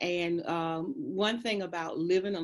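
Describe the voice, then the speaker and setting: A woman speaks with an American accent at a medium pitch. Her pitch variation is ordinary. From US South. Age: 60s. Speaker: school administrator. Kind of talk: interview.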